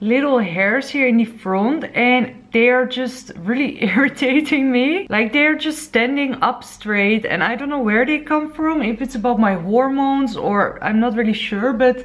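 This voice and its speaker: A woman speaks at a high pitch with hardly any pauses. Her pitch variation is ordinary. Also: moderate pace. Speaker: lifestyle vlogger. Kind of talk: casual vlog chat. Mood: cheerful, chatty. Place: home room. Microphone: phone near.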